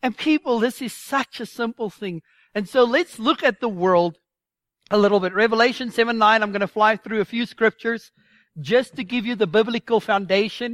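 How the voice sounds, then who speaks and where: In a very clean recording with a silent background and a dry, close sound with no echo, a woman speaks at a moderate pace. She has an unremarkable speaking voice with a fairly high pitch and ordinary pitch variation. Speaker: Sunday school teacher. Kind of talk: sermon-style teaching. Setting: church with audience.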